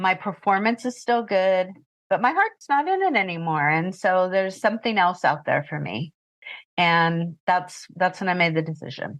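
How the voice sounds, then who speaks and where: Against a quiet background, an ordinary speaking voice keeps a moderate pace and shows ordinary pitch variation. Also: woman, medium pitch for a woman. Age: 60s. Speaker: retired pet sitter and business owner. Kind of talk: interview.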